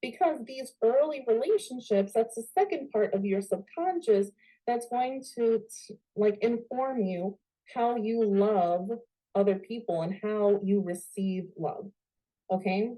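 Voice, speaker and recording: With an American accent and a dark, mellow tone, the speaker talks at a fairly slow pace with lively intonation. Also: woman, fairly high pitch for a woman. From New York. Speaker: spiritual coach. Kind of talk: online workshop. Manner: casual, many fillers like okay.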